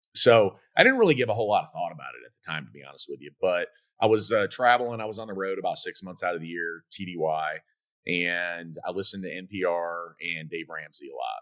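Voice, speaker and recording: This man talks at a fairly quick pace. His voice comes through loud. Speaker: military veteran and fast-food restaurant owner. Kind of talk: podcast interview. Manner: intense.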